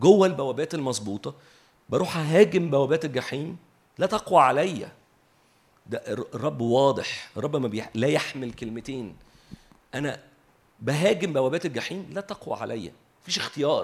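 The man's fairly high pitch moves in very wide swings at a moderate pace. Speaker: preacher. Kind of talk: sermon.

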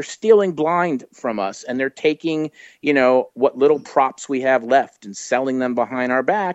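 At a moderate pace, a man speaks in a plain, everyday voice with ordinary pitch variation against a quiet background. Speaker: guest discussing horror films. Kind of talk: casual interview.

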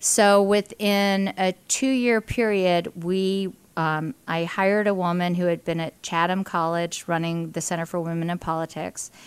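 An ordinary speaking voice moves at a fairly slow pace with fairly even intonation and hardly any pauses, on a very clean recording with a silent background. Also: woman, fairly low pitch for a woman. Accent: American. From western Pennsylvania (Indiana, PA). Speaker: business executive and party official. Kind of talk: casual interview. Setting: coffee shop.

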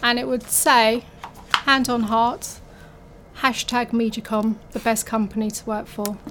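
A woman speaks at a fairly slow pace with a fairly high pitch. Her intonation is fairly even, and there is noticeable background noise. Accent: London. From North London. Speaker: office catering manager. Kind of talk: casual interview.

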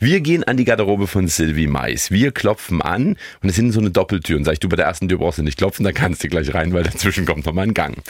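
Speaking at a very fast pace, a man with a very deep, low pitch uses lively intonation and keeps his loudness very even. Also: hardly any pauses. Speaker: podcast co-host. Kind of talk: casual chat.

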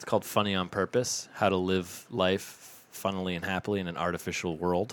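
Very deep and low in pitch, a man with an American accent talks at a fairly quick pace with hardly any pauses, monotone, flat intonation and big swings in loudness. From US Northeast. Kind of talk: casual chat.

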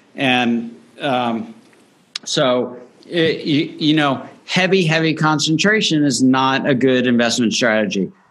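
With an American accent, the speaker goes at a very slow pace with very even loudness and ordinary pitch variation, and audible room echo. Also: man, medium pitch for a man. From Miami, Florida. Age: 40s. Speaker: investment expert. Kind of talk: interview.

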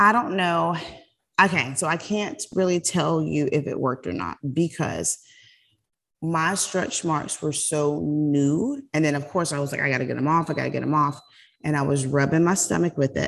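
Moderate pace, ordinary pitch variation and vocal fry from a woman with a very deep, low pitch and an American accent, against a quiet background. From South Carolina. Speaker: nurse practitioner and podcast co-host. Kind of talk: casual chat.

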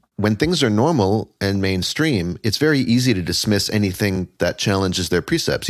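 A man with an ordinary speaking voice talks at a fairly low pitch and a fairly quick pace. The recording is very clean with a silent background. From Canada. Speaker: author and educator. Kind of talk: interview.

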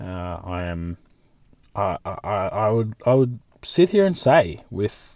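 Dark, mellow tone from a man, very clean recording, silent background. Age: 20s. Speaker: podcast host. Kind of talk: solo monologue podcast. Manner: casual, with frequent fillers and repetitions.

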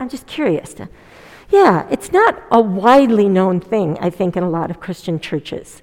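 A woman with an ordinary speaking voice talks at a moderate pace and medium pitch, her intonation lively. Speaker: preacher leading a church service. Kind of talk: sermon with congregation reflection. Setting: church with online audience.

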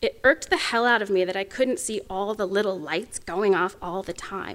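Lively intonation and a moderate pace mark this speech in an Oklahoma accent, captured in a very clean recording with a silent background. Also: woman. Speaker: political science professor, guest speaker. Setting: lecture event, addressing an audience. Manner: emphatic, blunt, casual.

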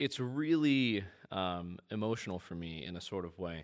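A man talks with a Midwestern American accent. The recording is very clean, with a silent background. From US Midwest, central/northern Indiana. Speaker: student journalist and filmmaker. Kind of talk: casual interview chat.

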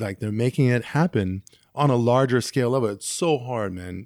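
American-accented man with an unremarkable speaking voice, medium in pitch with ordinary pitch variation, at a moderate pace, in a very clean recording with a silent background. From US West Coast, San Francisco Bay Area. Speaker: DJ and music producer. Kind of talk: casual chat.

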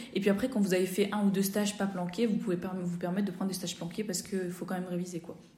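A woman with a medium pitch and a somewhat breathy voice speaks at a very fast pace in a monotone, flat intonation, with audible room echo. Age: 20s. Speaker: fifth-year medical student. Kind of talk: casual interview.

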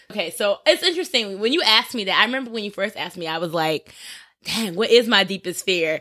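The voice has a bright, sharp tone and lively intonation at a very fast pace. The recording is very clean, with a silent background. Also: woman, medium pitch for a woman. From New Jersey. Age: 20s. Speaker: entertainment reporter. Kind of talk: casual chat.

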